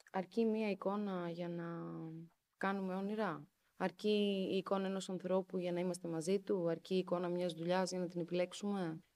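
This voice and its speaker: Her voice medium in pitch, a woman speaks in a monotone, flat way with a dark, mellow tone. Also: moderate pace. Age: 30s. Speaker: journalist. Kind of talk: casual chat.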